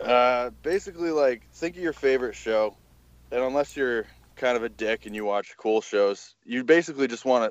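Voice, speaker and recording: With a plain, everyday voice at medium pitch, a man talks at a moderate pace in a dry, close sound with no echo and a quiet background. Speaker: podcast guest. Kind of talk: casual chat, interview.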